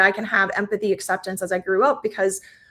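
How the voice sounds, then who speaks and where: Speaking with an American accent, the woman's voice rests at a medium pitch. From United States, Iranian-born. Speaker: tech entrepreneur and advisor. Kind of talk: interview. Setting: livestream video call. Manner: many fillers, hesitant starts.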